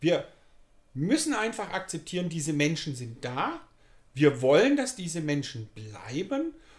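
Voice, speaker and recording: At a fairly slow pace, this voice moves through very wide pitch swings. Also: man, high pitch for a man. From Germany, Pforzheim (Baden-Württemberg). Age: 60s. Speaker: youth work manager. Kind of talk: interview. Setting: community centre.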